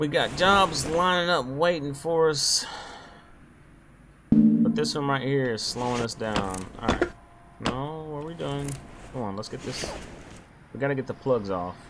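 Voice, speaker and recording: Lively intonation at a fairly slow pace, with long, frequent pauses, audible room echo and music in the background. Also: man, medium pitch for a man. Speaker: gaming youtuber. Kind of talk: gameplay commentary.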